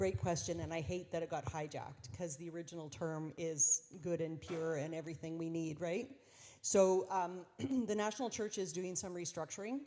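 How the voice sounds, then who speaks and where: Heard in a very clean recording with a silent background, the voice has a Canadian accent, a dark, mellow tone and ordinary pitch variation. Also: woman, fairly low pitch for a woman. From Saskatchewan, Canada. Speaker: bishop. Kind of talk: Q&A session with congregations. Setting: church dinner event with audience. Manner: fast; animated.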